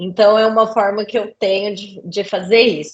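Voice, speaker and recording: The speaker is a woman with a medium-pitched voice. She talks at a moderate pace. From Brazil, Center-West (Cuiabá, Goiânia). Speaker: safety and environmental engineer, lecturer. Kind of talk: interview.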